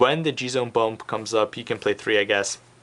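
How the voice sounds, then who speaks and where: Noticeable background noise sits behind a man's voice. His pitch is medium, with ordinary variation. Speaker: card game deck reviewer. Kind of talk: tutorial. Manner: hesitant, many fillers.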